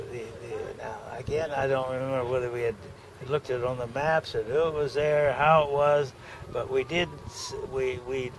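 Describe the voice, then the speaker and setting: A man's fairly high-pitched voice at a moderate pace, with noticeable background noise. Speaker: war veteran. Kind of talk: oral history recollection. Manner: halting, hesitant.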